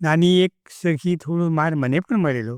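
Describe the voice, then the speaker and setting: A man speaks at a high pitch with ordinary pitch variation. The sound is dry and close with no echo, on a very clean recording with a silent background. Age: 80s+. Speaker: retired teacher. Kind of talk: podcast interview answer.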